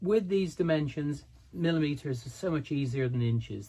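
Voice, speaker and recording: This man's dark, mellow voice is somewhat breathy, and its pitch varies in an ordinary way. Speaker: model railway hobbyist YouTuber. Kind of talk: tutorial. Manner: relaxed, conversational with fillers.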